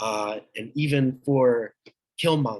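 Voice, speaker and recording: A man talks at a medium pitch. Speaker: young army reservist. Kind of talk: conversational reflection. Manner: halting.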